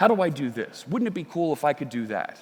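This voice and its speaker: A man with a Philadelphia accent speaks with lively intonation. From US Northeast, Philadelphia. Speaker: software developer and conference speaker. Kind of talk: conference talk. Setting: stage with audience.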